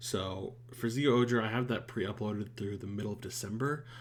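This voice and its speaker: There is audible room echo around a man's somewhat breathy voice. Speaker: YouTuber reacting to shows. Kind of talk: casual channel update. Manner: halting, many fillers.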